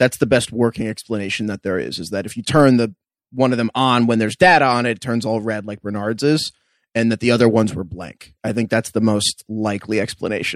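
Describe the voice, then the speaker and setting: Speaking at a fairly quick pace with an American accent, a man in medium pitch has a plain, everyday voice, the sound dry and close with no echo. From New York. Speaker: podcast co-host. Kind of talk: casual recap chat.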